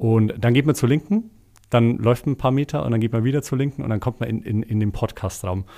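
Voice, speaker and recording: A man's dark, mellow voice at medium pitch, fairly quick, with ordinary pitch variation, on a very clean recording with a silent background. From Bavaria, village near Eichstätt. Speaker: executive assistant and podcast producer. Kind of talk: casual chat. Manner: hesitant, many filler sounds.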